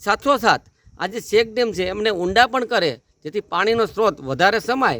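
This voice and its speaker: The sound is close and dry, without any echo. The voice belongs to a man. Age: 40s. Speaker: local resident. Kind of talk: news interview. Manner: halting.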